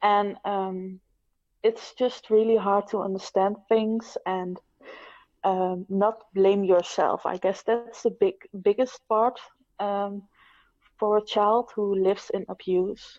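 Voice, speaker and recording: At a very slow pace, the speaker uses monotone, flat intonation with a non-native accent. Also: woman, medium pitch for a woman. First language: not English. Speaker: abuse survivor, writer. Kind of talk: personal testimony. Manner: halting, many fillers.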